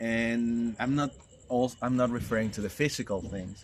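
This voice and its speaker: A man with a non-native accent speaking at a fairly slow pace. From Mexico, Guanajuato. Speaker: retreat facilitator. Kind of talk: casual promotional chat. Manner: halting.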